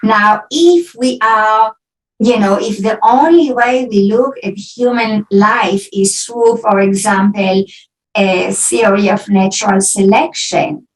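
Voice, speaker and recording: Speech comes at a very slow pace in an Israeli accent. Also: woman, fairly high pitch for a woman, ordinary pitch variation. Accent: Israeli accent, often taken for German. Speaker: philosophy professor. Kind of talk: academic Q&A after lecture.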